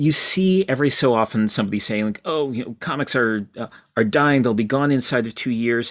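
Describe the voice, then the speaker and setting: A man talks at a fairly quick pace with an unremarkable speaking voice at medium pitch. The recording is very clean, with a silent background. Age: 50s. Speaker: author and comics critic. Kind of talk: interview.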